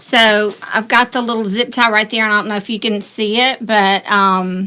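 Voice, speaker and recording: A woman with a Southern US accent speaks at a moderate pace in a fairly high pitch, her intonation monotone and flat. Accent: Southern US accent, near Texas. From US South. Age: 60s. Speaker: craft tutorial host. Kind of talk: live-stream craft tutorial. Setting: live stream. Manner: casual, chatty.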